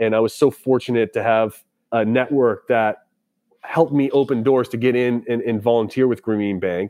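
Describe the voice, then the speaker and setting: Using a normal speaking voice, a man with an American accent talks fairly quickly at a medium pitch with fairly even intonation. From Boston, US. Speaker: tech startup founder and army veteran. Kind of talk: interview.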